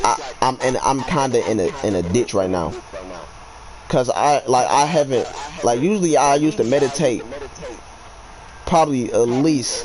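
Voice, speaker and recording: Lively intonation at a moderate pace, with very even loudness, long, frequent pauses and noticeable background noise. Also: man, fairly high pitch for a man. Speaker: livestreamer and beat maker. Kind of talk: casual chat. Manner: halting.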